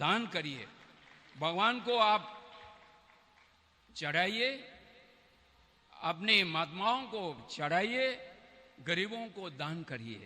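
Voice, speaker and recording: A man with a non-native accent uses a raised, projected voice at a high pitch, with very wide pitch swings and long, frequent pauses, over noticeable background noise. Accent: non-native Hindi. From Tibet. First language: Tibetan (speaking Hindi). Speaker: Tibetan politician, former parliament deputy speaker. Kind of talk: speech at religious event. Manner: halting.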